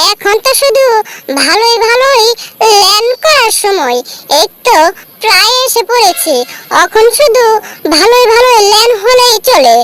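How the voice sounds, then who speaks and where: A squeaky, put-on character voice pitched extremely high, delivered at a fairly slow pace. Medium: fan dub. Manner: bossy, excitable.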